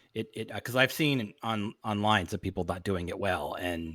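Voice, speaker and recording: Using an ordinary speaking voice, a man talks at a moderate pace with a fairly low pitch and lively intonation. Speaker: podcast host. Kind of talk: casual interview chat.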